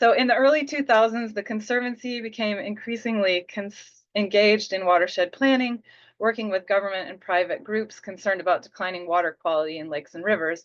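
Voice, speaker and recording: In an ordinary speaking voice of medium pitch, a woman talks fairly quickly with hardly any pauses, ordinary pitch variation and big swings in loudness, over a quiet background. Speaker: conservation program presenter. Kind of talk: webinar presentation.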